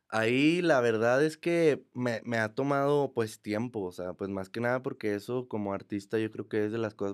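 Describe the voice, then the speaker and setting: On a very clean recording with a silent background, a man at medium pitch talks at a moderate pace in an unremarkable speaking voice with ordinary pitch variation. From Mexico, Monterrey. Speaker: trap artist. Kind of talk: casual chat. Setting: studio.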